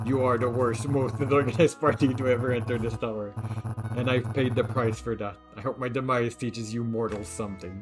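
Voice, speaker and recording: With clear music in the background, a man in a raspy put-on character voice speaks at a medium pitch and a fairly quick pace. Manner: bitter, dying.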